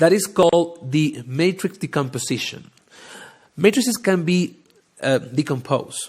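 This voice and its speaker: A man with a high pitch and a strong non-native accent speaks at a moderate pace with lively intonation. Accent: thick non-native English. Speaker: data science podcast host. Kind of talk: live educational talk. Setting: livestream, audio only. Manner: halting, many fillers.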